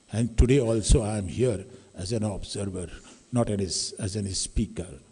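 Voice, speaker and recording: A man's fairly low-pitched, somewhat breathy voice with a dark, mellow tone at a fairly slow pace. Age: 60s. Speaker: academic audience member giving remarks. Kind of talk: public address at a talk.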